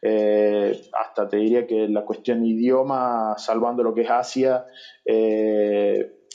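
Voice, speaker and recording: A man's medium-pitched voice stays in a flat monotone. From Argentina. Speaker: SEO specialist. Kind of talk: interview.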